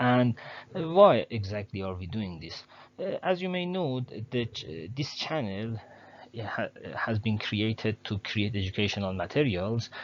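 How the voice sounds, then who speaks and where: A man at medium pitch with a non-native accent, his pitch swinging very widely at a moderate pace. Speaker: educational channel host. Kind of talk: tutorial. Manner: halting, many fillers; careful, trying to speak clearly.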